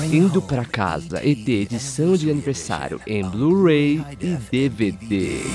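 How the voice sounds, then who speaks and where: Over music in the background, a man at a medium pitch speaks at a very slow pace with hardly any pauses and very wide pitch swings. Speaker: voice actor, trailer announcer. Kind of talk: movie trailer voice-over, dubbed translation of original announcer. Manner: calm, tranquil.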